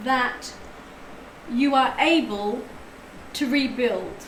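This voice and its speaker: High-pitched speech from a woman, with audible room echo and noticeable noise behind it. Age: 60s. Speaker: tarot reader. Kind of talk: live stream tarot reading.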